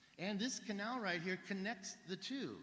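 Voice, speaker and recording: A man speaks with audible room echo. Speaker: alternative history researcher. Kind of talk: conference presentation. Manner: fast.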